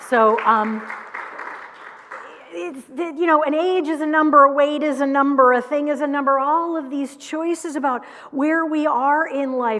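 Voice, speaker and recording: The speech moves at a fairly slow pace with ordinary pitch variation. Audible room echo and crowd noise in the background are present. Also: woman, high pitch for a woman. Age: 60s. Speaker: minister. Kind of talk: sermon. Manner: casual, conversational.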